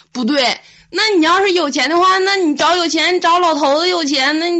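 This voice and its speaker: The pitch varies in an ordinary way. There is noticeable background noise. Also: woman. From Liaoning, northeast China (Fuxin). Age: 20s. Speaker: guest. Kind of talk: casual chat.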